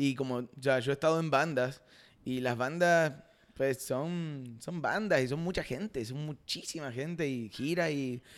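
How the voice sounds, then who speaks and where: On a very clean recording with a silent background, a man with an Argentine accent speaks at a fairly slow pace and a fairly high pitch. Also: ordinary pitch variation. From Argentina, Rosario. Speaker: content creator and actor. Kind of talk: casual chat.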